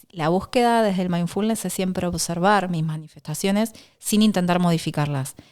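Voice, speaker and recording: In a very clean recording with a silent background, a woman speaks at medium pitch with ordinary pitch variation. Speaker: sports psychologist. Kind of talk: interview. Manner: fast.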